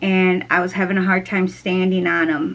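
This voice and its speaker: A woman's voice at medium pitch. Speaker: YouTuber. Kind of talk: casual vlog talk. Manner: halting.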